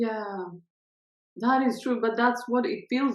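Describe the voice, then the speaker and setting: A woman speaks at a fairly slow pace in a fairly high voice. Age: 40s. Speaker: podcast host. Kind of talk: interview.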